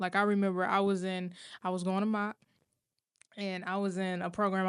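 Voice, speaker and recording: The background is quiet as a woman talks in an ordinary speaking voice. She keeps a moderate pace. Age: 20s. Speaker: radio host. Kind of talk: casual chat.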